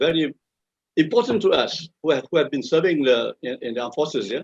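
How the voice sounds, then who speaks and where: In a Malaysian accent, a man with a fairly high voice talks at a very fast pace with lively intonation, the sound dry and close with no echo. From Malaysia, Kuala Lumpur. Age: 70s. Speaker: retired army officer. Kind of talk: interview. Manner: halting, many repetitions.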